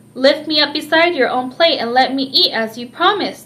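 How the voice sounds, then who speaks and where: A woman puts on a croaky, high-pitched character voice and moves at a fairly quick pace. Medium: read story.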